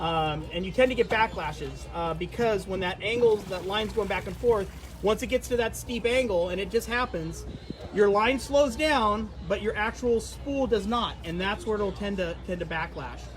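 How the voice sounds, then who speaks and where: A man keeps a moderate speed while noticeable background noise fills the recording. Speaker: fishing tackle company rep. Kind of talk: product demo.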